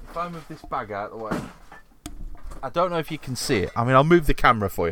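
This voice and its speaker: A man talks with a Yorkshire accent at a very fast pace. His pitch is fairly high and his tone bright and sharp. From Yorkshire, England. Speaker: podcast host. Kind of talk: casual chat.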